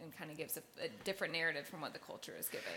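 An ordinary speaking voice belongs to this woman, pitched fairly low. Her pitch varies in an ordinary way. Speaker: audience question reader. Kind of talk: Q&A.

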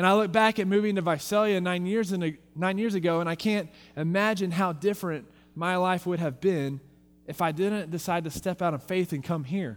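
With an American accent, a man talks at a moderate pace in a high pitch, with ordinary pitch variation, on a very clean recording with a silent background. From Texas. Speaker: youth pastor. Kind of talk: farewell sermon. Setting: church with congregation.

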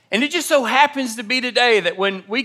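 Raised and projected, a man's extremely high-pitched voice has a bright, sharp tone and lively intonation at a moderate pace. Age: 30s. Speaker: pastor. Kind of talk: sermon. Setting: church. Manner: animated.

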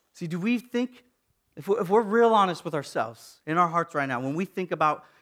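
In a normal speaking voice, a man speaks at a fairly quick pace with lively intonation on a very clean recording with a silent background. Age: 30s. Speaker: pastor. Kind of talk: sermon.

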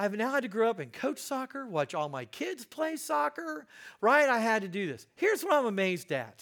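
A man with an American accent speaks at an extremely high pitch and a fairly quick pace. The recording is very clean, with a silent background. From US Midwest, Indiana. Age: 50s. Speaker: guest preacher. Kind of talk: sermon.

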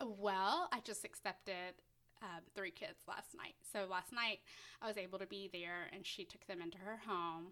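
Bright, sharp-toned woman with a Tennessee accent, at a medium pitch and a fairly slow pace with fairly even intonation. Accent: Southern American (Tennessee). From US South, Middle Tennessee. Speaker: foster parent. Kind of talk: interview.

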